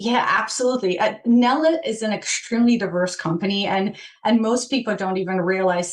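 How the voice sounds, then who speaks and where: A woman speaks with a Polish accent. Her pace is fairly quick. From Poland. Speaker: change management director. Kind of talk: podcast interview. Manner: halting, many fillers.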